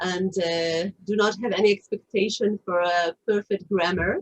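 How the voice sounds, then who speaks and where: Speaking at a very slow pace with an Israeli accent, a woman shows ordinary pitch variation in a dry, close sound with no echo. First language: Hebrew. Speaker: author. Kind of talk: interview. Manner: halting, many fillers.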